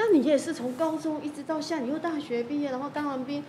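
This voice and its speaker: A woman's high voice at a very fast pace, with noticeable background noise. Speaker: podcast host. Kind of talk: casual interview.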